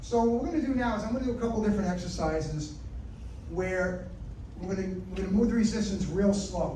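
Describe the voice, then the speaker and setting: A loud man's voice, high in pitch with ordinary pitch variation, amid noticeable background noise and audible room echo. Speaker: nutritionist and exercise speaker. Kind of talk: health talk with exercise demo. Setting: club meeting with live audience. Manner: energetic. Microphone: sometimes speaks without a mic.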